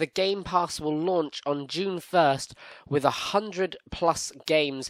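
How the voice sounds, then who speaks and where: In a British accent, someone speaks at a fairly slow pace with ordinary pitch variation, in a very clean recording with a silent background and a dry, close sound with no echo. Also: man. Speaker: gaming podcast host. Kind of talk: casual podcast news chat.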